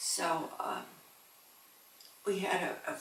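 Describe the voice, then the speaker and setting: A woman with an American accent, amid audible room echo and noticeable background noise. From New York State (Binghamton). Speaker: grandmother interviewee. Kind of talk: family interview. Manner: halting.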